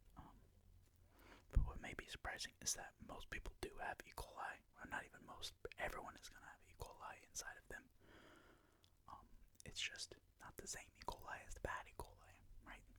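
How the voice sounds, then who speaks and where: The voice whispers at a fairly quick pace. Long pauses come often. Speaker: ASMR channel host reading a textbook aloud. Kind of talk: soft-spoken educational ASMR reading. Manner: soft-spoken.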